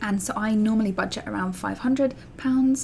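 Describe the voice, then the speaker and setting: A woman speaks in an English accent. Her pitch varies in an ordinary way. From England. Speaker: allergy parenting vlogger. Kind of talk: vlog tutorial. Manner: casual, with fillers.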